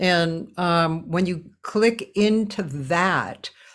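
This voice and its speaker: In an American accent, a woman speaks with lively intonation in a very clean recording with a silent background. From Boston. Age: 60s. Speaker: jazz singer and talk show host. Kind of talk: casual interview chat.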